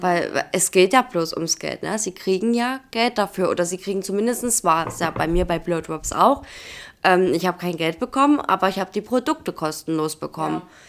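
A woman's plain, everyday voice at a medium pitch, moderate in pace with lively intonation, in a very clean recording with a silent background. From Saxony, Germany (Dresden). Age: 20s. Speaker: social media influencer and geriatric nurse. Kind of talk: casual chat.

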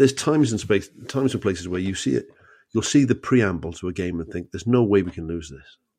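A man talks at a very fast pace in a Cardiff accent. His pitch is fairly low, over a quiet background. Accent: Welsh (Cardiff). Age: 50s. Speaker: comedian. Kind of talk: casual chat.

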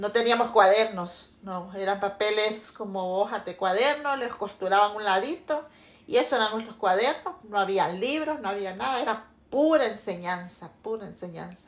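A woman talks in a normal speaking voice at a moderate pace. Her intonation is lively. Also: medium pitch for a woman. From Honduras, Santa Bárbara. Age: 50s. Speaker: interviewee, mother. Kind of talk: casual family interview.

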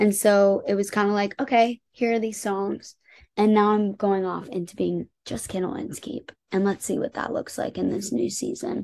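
Against a quiet background, a woman with a plain, everyday voice and an American accent speaks at a medium pitch and moderate pace with ordinary pitch variation. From Indiana (Indianapolis). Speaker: pop singer-songwriter. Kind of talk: interview.

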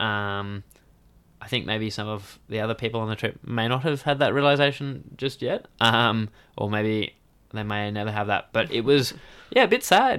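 Moderate pace, medium pitch and ordinary pitch variation from a man with an Australian accent. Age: 20s. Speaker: outdoor adventurer and river paddler. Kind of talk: interview storytelling. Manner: hesitant, many fillers.

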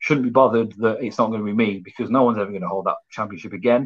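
A man with a West Midlands accent speaks in a medium pitch with fairly even intonation. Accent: English Midlands (Coventry). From England, Coventry. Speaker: professional wrestler. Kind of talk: casual interview.

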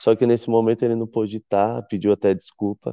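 An ordinary speaking voice from a man, fairly low in pitch and at a fairly quick pace. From Brazil, São Paulo. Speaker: chef. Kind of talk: interview. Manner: casual.

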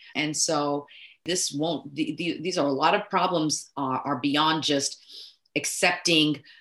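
At a moderate pace, a woman speaks in an American accent. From Texas, Nigerian-born. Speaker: urologist. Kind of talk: interview.

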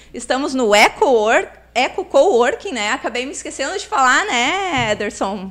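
With a southern Brazilian accent, a woman talks at a moderate pace in a high voice that swings very widely in pitch. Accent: southern Brazilian (gaúcho) Portuguese. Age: 40s. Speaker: podcast host. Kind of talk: interview. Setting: live-streamed podcast in coworking space.

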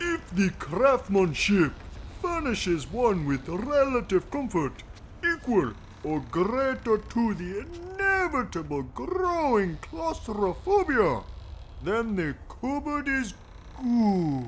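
A man's put-on character voice, extremely high-pitched, pompous and serious, with very wide pitch swings at a fairly slow pace over clear background noise. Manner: pompous, absurdly serious.

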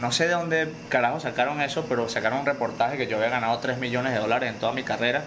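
A man speaks very fast with a Venezuelan accent and ordinary pitch variation. The room echo is audible, and background noise is noticeable. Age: 30s. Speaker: mixed martial arts fighter. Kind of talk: casual chat.

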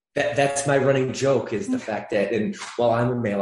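A man is heard with noticeable background noise. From US Midwest (Michigan), born in Atlanta, Georgia. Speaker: fitness franchise CEO. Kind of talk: interview.

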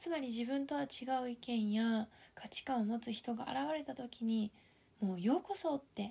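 Her voice is high-pitched with a dark, mellow tone, and this woman talks at a moderate pace with ordinary pitch variation. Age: 30s. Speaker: life coach podcaster. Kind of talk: solo podcast talk. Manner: polite.

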